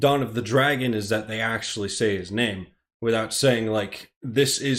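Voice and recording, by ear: Natural-voiced reading aloud, ordinary pitch variation, quiet background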